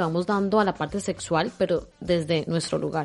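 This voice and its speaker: Music can be heard in the background. Over it, a woman speaks. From Colombia. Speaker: podcast host. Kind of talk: casual interview.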